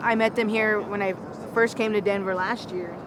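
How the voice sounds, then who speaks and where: Amid noticeable background noise, a woman speaks at a fairly slow pace in a fairly high voice. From North Dakota, Lakota Sioux reservation. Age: 20s. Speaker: interviewee. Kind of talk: street interview.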